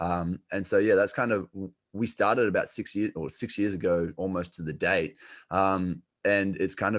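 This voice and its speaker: Speaking at a moderate pace with an Australian accent, a man uses a very deep, low pitch and fairly even intonation against a quiet background. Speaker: health coach. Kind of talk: podcast interview. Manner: casual, many fillers.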